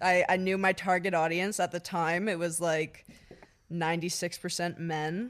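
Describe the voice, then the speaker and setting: Recorded very cleanly against a silent background, this speaker with a Canadian accent talks at a fairly slow pace. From Ottawa area, Canada. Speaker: social media creator and model. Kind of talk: casual chat.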